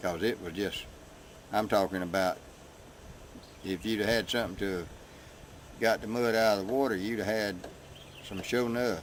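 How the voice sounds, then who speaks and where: A man with a Southern US accent speaks at a fairly low pitch and a moderate pace, with fairly even intonation and long, frequent pauses. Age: 70s. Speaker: local resident. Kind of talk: interview.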